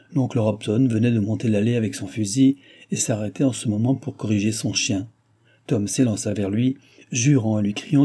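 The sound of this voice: This is an unforced reading voice. It is delivered plainly.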